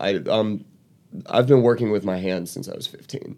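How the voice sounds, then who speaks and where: Using a normal speaking voice, a man talks at a moderate pace with a fairly low pitch and ordinary pitch variation, on a very clean recording with a silent background. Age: 20s. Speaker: stand-up comedian. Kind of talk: stand-up comedy set.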